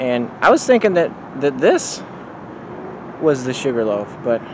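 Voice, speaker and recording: Noticeable background noise surrounds a man who speaks at a fairly slow pace in a dry sound with no echo. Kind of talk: casual vlog chat. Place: forest. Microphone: phone near.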